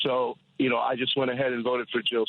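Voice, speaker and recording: This is a man with a plain, everyday voice. His pitch is medium. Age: 60s. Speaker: caller. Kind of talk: political call-in rant. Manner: rapid, run-on with repetitions.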